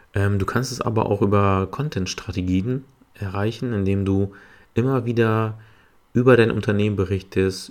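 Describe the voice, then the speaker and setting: Speaking at a moderate pace with fairly even intonation, a man with a fairly low voice is heard on a very clean recording with a silent background. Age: 30s. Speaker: podcast host, HR and recruiting specialist. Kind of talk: solo podcast monologue. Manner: hesitant, many filler sounds.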